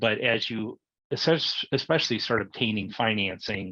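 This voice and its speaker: Bright and sharp in tone, a man's fairly low voice carries vocal fry. The sound is dry and close with no echo, over a quiet background. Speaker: tax and accounting advisor. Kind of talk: webinar presentation.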